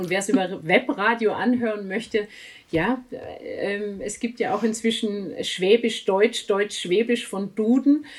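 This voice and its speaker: A woman talks at a fairly slow pace in a fairly high voice with ordinary pitch variation. Noticeable background noise is present. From outside Swabia, not native to the region. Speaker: author, editor and reading coach. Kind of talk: casual interview. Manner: many fillers and hesitations.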